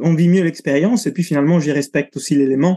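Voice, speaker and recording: Here a man speaks with an Italian accent. His pitch is fairly high, his tone dark and mellow. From Italy. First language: Italian (speaking French). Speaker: breathing coach and cold-exposure instructor. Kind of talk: interview conversation.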